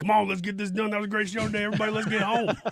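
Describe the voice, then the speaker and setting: A gruff, put-on character voice rattles along at a very fast pace. The intonation stays monotone and flat. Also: man, high pitch for a man. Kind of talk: casual, informal. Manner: brisk, casual.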